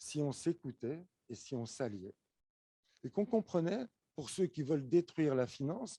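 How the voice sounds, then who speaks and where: A man speaks fairly slowly in a fairly high pitch with a dark, mellow tone and very wide pitch swings. Long, frequent pauses break up his speech, and the sound is dry and close with no echo. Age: 60s. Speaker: conference speaker. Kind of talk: conference talk.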